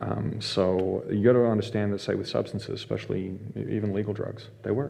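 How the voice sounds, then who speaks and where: With an Australian accent, a man talks at a fairly quick pace in a fairly low pitch, his dark, mellow tone showing vocal fry and fairly even intonation. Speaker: mental health facilitator and violence prevention instructor. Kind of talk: casual interview.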